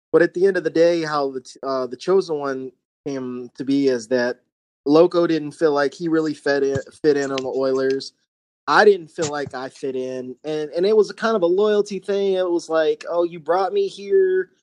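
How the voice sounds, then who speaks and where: A man's fairly high voice at a moderate pace, with ordinary pitch variation, big swings in loudness and a dry, close sound with no echo. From North Carolina. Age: 30s. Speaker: competitive gamer, army veteran. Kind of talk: interview. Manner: halting, many repetitions.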